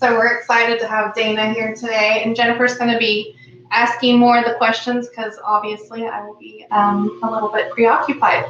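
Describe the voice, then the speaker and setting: A woman's fairly high-pitched voice at a moderate pace, with monotone, flat intonation, big swings in loudness, hardly any pauses, and noticeable background noise. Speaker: talk show co-host. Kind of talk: casual chat.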